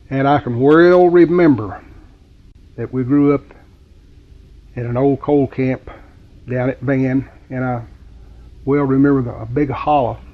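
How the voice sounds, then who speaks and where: A man with an Appalachian accent, medium in pitch, at a fairly slow pace. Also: long, frequent pauses. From West Virginia. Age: 70s. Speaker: local resident. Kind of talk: reminiscence interview. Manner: halting.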